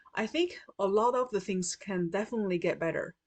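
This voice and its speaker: A woman speaks with a Chinese accent at a medium pitch. Her pace is moderate and her intonation fairly even. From China. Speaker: patient partner. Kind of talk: prepared testimony.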